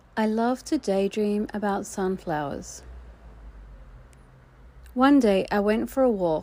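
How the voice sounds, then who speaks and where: A soft-spoken, gentle voice with a dark, mellow tone and an Australian accent, very slow, with long, frequent pauses and ordinary pitch variation. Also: woman, medium pitch for a woman. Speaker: children's storyteller. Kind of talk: children's read story. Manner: soft-spoken, gentle, with pauses.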